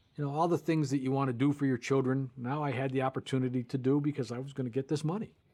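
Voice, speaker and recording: Over a quiet background, a dark, mellow voice rushes along at a very fast pace with fairly even intonation and hardly any pauses. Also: man, medium pitch for a man. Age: 60s. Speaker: interviewee. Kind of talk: testimony.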